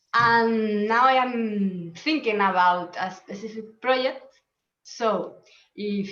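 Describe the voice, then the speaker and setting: Delivery is very slow, and the pitch moves in an ordinary way. The room adds an audible echo. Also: woman. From Spain, Murcia. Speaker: sommelier. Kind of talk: self-introduction in a webinar. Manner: halting.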